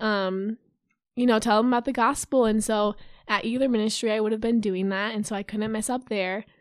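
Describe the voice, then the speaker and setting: Talking at a fairly quick pace, a woman with an American accent uses a fairly high pitch in a monotone, flat intonation. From US Midwest (Urbandale, Iowa). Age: young. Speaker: college student and youth ministry leader. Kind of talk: casual chat.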